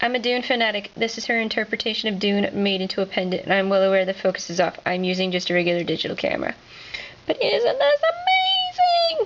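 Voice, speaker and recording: A woman talks at a very fast pace with a fairly high pitch, very wide pitch swings and very even loudness, over noticeable background noise. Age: 20s. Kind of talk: casual video tour. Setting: home art studio. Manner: animated.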